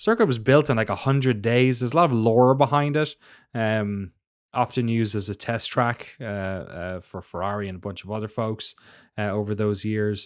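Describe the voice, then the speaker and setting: In a very clean recording with a silent background, a man speaks with an Irish accent and ordinary pitch variation. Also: medium pitch for a man, moderate pace. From Ireland. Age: 30s. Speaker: F1 podcast co-host. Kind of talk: casual chat. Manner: animated, laughs often.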